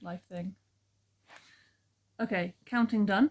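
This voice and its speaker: Quiet, somewhat breathy speech at a fairly slow pace. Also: woman. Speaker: crafting vlogger. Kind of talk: casual vlog monologue. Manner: very quiet; rambling, hesitant with ums.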